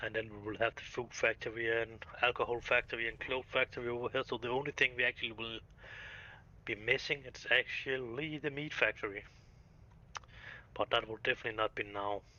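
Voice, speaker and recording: A man with a non-native accent, medium pitch and fairly even intonation. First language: Danish. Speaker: video game streamer. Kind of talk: live gameplay commentary. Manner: halting.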